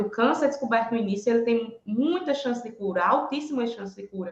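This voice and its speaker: A woman with an ordinary speaking voice at a fairly quick pace, showing ordinary pitch variation. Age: 30s. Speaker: breast cancer survivor. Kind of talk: testimony.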